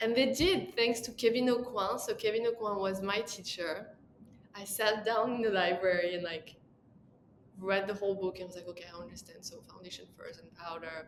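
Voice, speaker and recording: A woman with a French accent, medium pitch and ordinary pitch variation, at a moderate pace with big swings in loudness. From France. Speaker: makeup artist. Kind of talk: interview. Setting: podcast.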